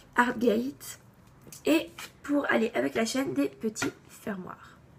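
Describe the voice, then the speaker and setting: At a very slow pace, the speaker makes very wide pitch swings against noticeable background noise. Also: woman. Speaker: craft YouTuber. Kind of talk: tutorial.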